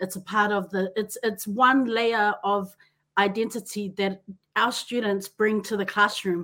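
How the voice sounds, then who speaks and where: In a New Zealand accent, the speaker goes at a fairly slow pace with an animated, enthusiastic tone that is bright and sharp. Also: woman, medium pitch for a woman. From New Zealand, Auckland, Pacific Island family. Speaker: podcast host and teacher. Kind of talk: casual interview chat.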